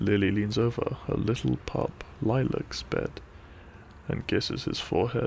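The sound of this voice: A man talks at a fairly slow pace with medium pitch and vocal fry. His tone is slightly mellow, and his intonation stays fairly even.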